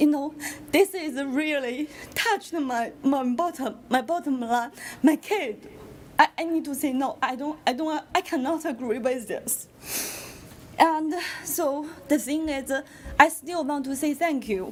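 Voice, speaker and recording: A woman speaks at a high pitch with a non-native accent. Her pace is fairly slow and her intonation lively. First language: not English. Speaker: parent speaking at public comment. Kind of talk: public comment at school board meeting. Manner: halting.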